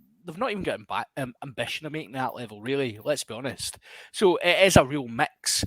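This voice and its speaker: In a Scottish accent, a man speaks at a fairly high pitch and moderate pace with lively intonation. His loudness swings widely, and the sound is dry and close with no echo. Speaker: podcast host. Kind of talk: casual chat.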